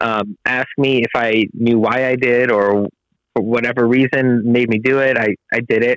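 Monotone, flat intonation with very even loudness at a moderate pace, with an American accent, in a dry, close sound with no echo. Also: man, medium pitch for a man. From Whittier, Los Angeles area, California. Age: 30s. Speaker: construction business owner. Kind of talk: interview. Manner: halting, many fillers.

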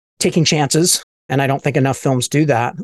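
A medium-pitched man with an ordinary speaking voice and fairly even intonation, in a dry, close sound with no echo. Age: 50s. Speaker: podcast host and independent filmmaker. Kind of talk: casual interview chat.

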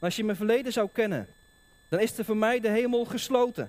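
Talking at a fairly quick pace, a man uses a high pitch. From Netherlands, Dordrecht (South Holland). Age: 30s. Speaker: preacher. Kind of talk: sermon. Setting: church.

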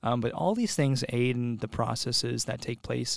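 This man has an unremarkable speaking voice, medium in pitch, with fairly even intonation and an American accent. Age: 20s. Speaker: podcast guest. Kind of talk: casual chat.

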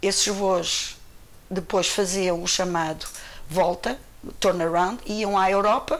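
The woman has a fairly low-pitched voice. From Portugal, Cascais near Lisbon. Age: 60s. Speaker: retired airline employee. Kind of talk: interview testimony.

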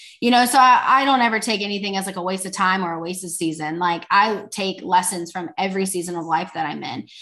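In a Texan accent, a woman talks very fast with hardly any pauses, her bright, sharp, animated tone at medium pitch showing ordinary pitch variation and big swings in loudness. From Texas. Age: 20s. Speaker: faith entrepreneur. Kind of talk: casual chat.

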